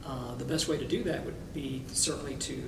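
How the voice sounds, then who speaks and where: A man keeps a moderate tempo and ordinary pitch variation while noticeable background noise and audible room echo fill the recording. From Cuba. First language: Spanish. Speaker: attorney. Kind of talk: interview.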